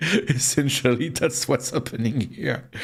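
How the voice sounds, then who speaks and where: Speaking with a French accent at a fairly slow pace, a man has a medium pitch, ordinary pitch variation and a somewhat breathy voice. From France. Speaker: vtuber streamer. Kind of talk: casual live stream chat. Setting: live stream at home PC. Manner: halting, many stammered repeats; animated.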